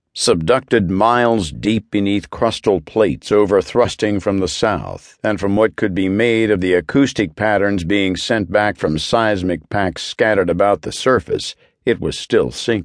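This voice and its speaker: The speech runs on with hardly any pauses against a quiet background. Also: man. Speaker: audiobook narrator. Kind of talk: dramatic audiobook narration of science fiction, solemn and foreboding. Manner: measured, grave, slow-paced, with heavy, brooding emphasis on the desolation; rises to a reflective, rhetorical-question tone in the closing lines.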